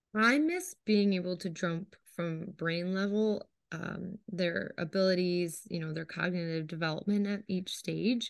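A woman with an American accent speaks at a fairly slow pace. It is an ordinary speaking voice, medium in pitch with fairly even intonation. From New York State. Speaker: artist and art teacher. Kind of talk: casual chat.

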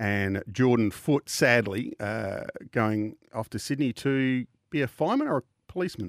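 With an Australian accent and a medium pitch, a man is heard in a dry, close sound with no echo on a very clean recording with a silent background. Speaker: radio host. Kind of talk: radio sponsor patter. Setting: studio. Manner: bright, upbeat announcer delivery.

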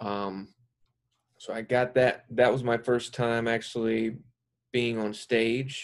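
Pausing long and often, a man with an American accent speaks at a very slow pace in a medium pitch with monotone, flat intonation. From South Carolina. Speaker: actor. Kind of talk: casual chat.

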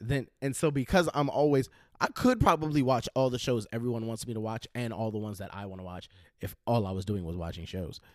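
A man has a plain, everyday voice at medium pitch, with lively intonation and big swings in loudness. The recording is very clean, with a silent background. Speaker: podcast guest. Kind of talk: casual conversation.

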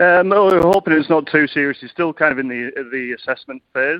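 With a British accent, a man talks with ordinary pitch variation. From UK. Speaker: cricket assistant coach. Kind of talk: radio interview.

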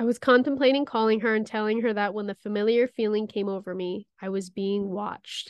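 A woman with a fairly high pitch speaks in an ordinary speaking voice at a fairly quick pace, keeping her intonation fairly even. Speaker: podcast co-host. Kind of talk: ghost story telling; reading aloud a scary story.

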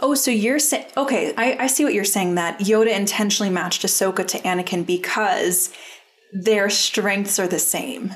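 Speech comes at a moderate pace with ordinary pitch variation. Noticeable background noise is present. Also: woman, medium pitch for a woman. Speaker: podcast host. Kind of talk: casual chat.

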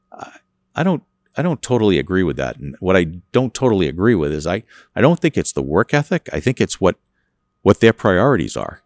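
A man at a fairly quick pace with vocal fry, very wide pitch swings and long, frequent pauses, on a very clean recording with a silent background and a dry, close sound with no echo. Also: fairly low pitch for a man. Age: 60s. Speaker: trucking company executive. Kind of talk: interview. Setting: on location at his company.

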